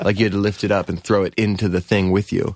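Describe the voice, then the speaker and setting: An unremarkable speaking voice from a man with an American accent, fairly low in pitch, at a moderate pace, with a dry, close sound and no echo. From US West Coast (Oregon, Southern California). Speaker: musician, band frontman. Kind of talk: interview.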